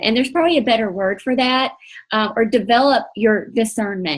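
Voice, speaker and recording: A woman's fairly high-pitched voice moves with ordinary pitch variation. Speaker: faith-based coaching leader. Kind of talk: online coaching training session. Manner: partly reading aloud.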